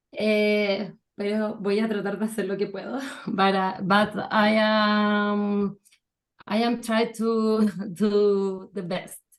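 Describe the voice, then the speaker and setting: Speaking at a very slow pace, a woman holds a medium pitch in a monotone, flat way. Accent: Spanish. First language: Spanish. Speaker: knitting pattern designer. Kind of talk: video call knitting event. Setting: video call.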